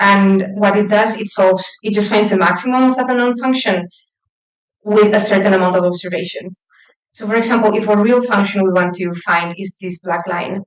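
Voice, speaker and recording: A woman's medium-pitched voice at a fairly quick pace with fairly even intonation. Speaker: lecturer in AI for particle accelerators. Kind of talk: lecture. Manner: fast.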